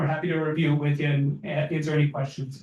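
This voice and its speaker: The tone is dark and mellow. It belongs to a man. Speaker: solar installer presenter. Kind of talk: presentation. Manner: fast.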